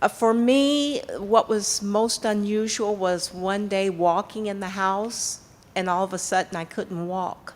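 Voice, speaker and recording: A woman with a normal speaking voice keeps a medium pitch and ordinary pitch variation, moving at a fairly slow pace. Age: 60s. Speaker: audience member with lupus. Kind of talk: testimony.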